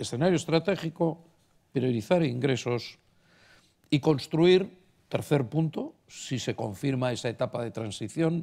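Dark, mellow, fairly high male voice with lively intonation at a very slow pace, in a very clean recording with a silent background. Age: old. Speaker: banking executive, economist panelist. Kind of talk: panel talk.

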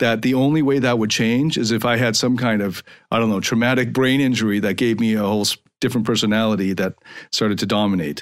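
This man has a plain, everyday voice at a medium pitch, with ordinary pitch variation and a fairly quick pace. The recording is very clean, with a silent background. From Canada, suburban Toronto. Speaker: podcast host and life coach. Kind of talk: monologue podcast.

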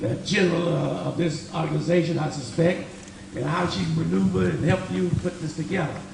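Over noticeable background noise, a man talks with audible room echo. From Richmond, California (born in Texas). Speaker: city council candidate. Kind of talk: campaign speech at candidate forum. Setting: community forum in school with audience.

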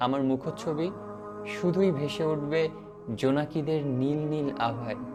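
Music plays behind a man whose fairly high pitch varies in an ordinary way. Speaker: voiceover narrator. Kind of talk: reflective spiritual story narration. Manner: calm, emotional.

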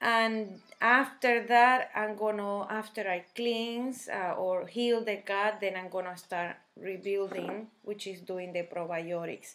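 A woman with a Spanish accent at a very slow pace, her intonation fairly even. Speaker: health vlogger. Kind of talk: casual talk to camera. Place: kitchen. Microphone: webcam.

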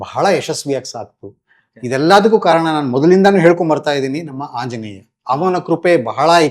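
A plain, everyday voice, a man at a fairly high pitch with lively intonation and big swings in loudness. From Karnataka, Mysore and Bangalore. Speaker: community organizer. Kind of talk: interview.

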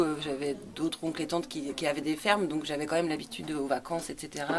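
A woman's fairly quick speech comes through over noticeable background noise. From Anjou, western France. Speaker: rural resident. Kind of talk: oral history interview. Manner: halting.

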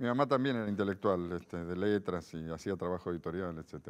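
A man speaks fairly quickly in a very deep, low pitch. His pitch varies in an ordinary way. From Argentina, Buenos Aires. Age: 50s. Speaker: philosopher; interview guest. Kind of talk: interview. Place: studio. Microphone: lapel.

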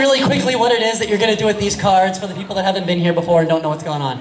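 A man speaks in a room with audible echo and light background noise. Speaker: improv show host. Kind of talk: stage hosting to audience. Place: hall. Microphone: pa.

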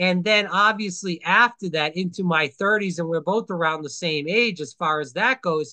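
A man with a high pitch and a bright, sharp tone talks at a moderate pace with hardly any pauses. His pitch varies ordinarily over a quiet background. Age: 30s. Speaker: podcast host. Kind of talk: casual political interview. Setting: video call. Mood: earnest, opinionated. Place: home room. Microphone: webcam.

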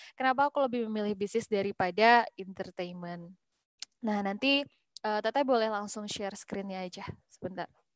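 An unremarkable speaking voice from a woman, fairly high-pitched and fairly even in intonation, at a moderate pace, dry with no echo over a quiet background. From West Java, Bandung; West Java. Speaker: young entrepreneur, hijab brand founder; guest. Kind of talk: webinar talk, casual. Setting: video call. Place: home room. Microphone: video call.

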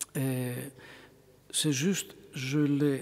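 A man is speaking. He talks with a Greek accent. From Greece. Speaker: bishop. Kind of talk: lecture. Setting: church. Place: church. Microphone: podium.

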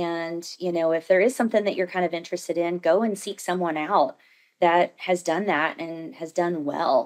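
A woman with an American accent uses a normal speaking voice, fairly low in pitch, with fairly even intonation. She keeps a moderate pace against a quiet background. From Southern Indiana; Indiana. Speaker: cosmetics sales director and entrepreneur; cosmetics sales director. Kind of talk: casual interview. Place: meeting room. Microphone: studio mic.

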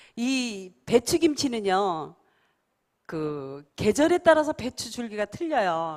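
A woman's high voice with very wide pitch swings at a very slow pace, on a very clean recording with a silent background. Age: 60s. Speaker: master kimchi maker and food company head. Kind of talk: speech to audience.

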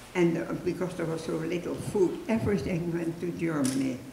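A woman with a Dutch accent at a fairly low pitch and moderate pace, amid light background noise and audible room echo. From Netherlands. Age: 80s+. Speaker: Holocaust rescuer, resistance member. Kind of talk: public talk, personal testimony. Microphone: handheld.

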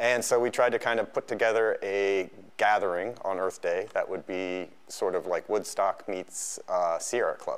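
With hardly any pauses, a man keeps to a moderate pace. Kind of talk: interview answer. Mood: relaxed and friendly. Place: studio. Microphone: lapel.

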